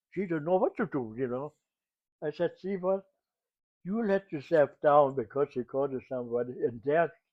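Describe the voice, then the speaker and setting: A man speaks with a German accent in a fairly high voice. His pace is moderate. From Germany. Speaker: WWII eyewitness. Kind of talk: interview. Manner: halting.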